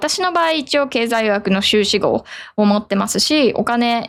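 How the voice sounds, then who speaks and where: An ordinary speaking voice from a woman, fairly high in pitch, with lively intonation. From Japan. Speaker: management consultant. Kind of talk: casual radio-style talk. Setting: poor microphone setup.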